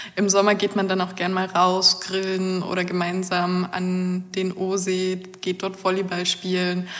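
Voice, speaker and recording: A woman speaks at a medium pitch in a monotone, flat intonation, at a fairly slow pace with hardly any pauses. Noticeable background noise runs underneath. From Germany, northeastern Brandenburg. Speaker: engineering master's student. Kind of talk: interview about her studies.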